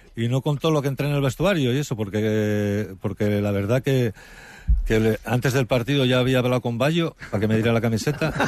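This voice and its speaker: With a normal speaking voice, a man of medium pitch talks at a fairly quick pace, showing ordinary pitch variation and very even loudness. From Spain, Asturias (Gijón area). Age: 50s. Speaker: retired footballer and author. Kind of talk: interview.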